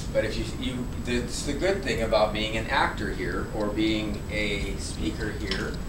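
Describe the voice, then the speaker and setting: Noticeable background noise is present. Through it comes a man's voice. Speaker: acting or speech coach. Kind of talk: coaching instruction to a student. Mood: relaxed, joking. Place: classroom. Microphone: camera far.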